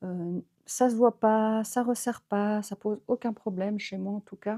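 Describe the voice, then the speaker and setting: A woman speaks at a fairly high pitch and fairly slow pace, in a dark, mellow tone with flat, monotone intonation and big swings in loudness. The recording is very clean, with a silent background and a dry, close sound with no echo. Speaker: knitting vlogger. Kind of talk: casual vlog talk. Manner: hesitant, many fillers.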